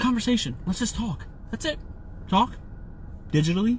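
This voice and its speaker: At a fairly quick pace, an animated speaker with an American accent uses ordinary pitch variation. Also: man. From New Jersey. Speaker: podcast host and comedian. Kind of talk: casual chat. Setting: live stream. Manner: loud.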